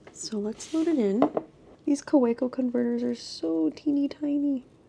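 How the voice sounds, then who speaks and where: Against noticeable background noise, a woman talks in a high voice with very wide pitch swings. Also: moderate pace. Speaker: artist vlogger. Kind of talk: casual vlog narration.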